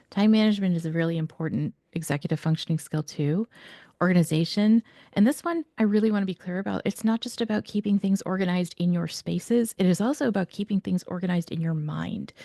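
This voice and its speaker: Over a quiet background, a woman with a dark, mellow tone and medium pitch speaks very fast with ordinary pitch variation, the sound dry and close with no echo. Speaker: educational expert presenter. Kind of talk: webinar presentation.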